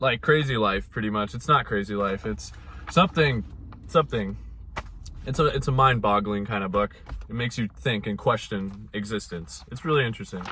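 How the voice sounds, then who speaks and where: Lively intonation marks a man's fairly quick delivery in an unremarkable speaking voice. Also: fairly low pitch for a man. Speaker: mental health vlogger. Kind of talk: casual vlog monologue.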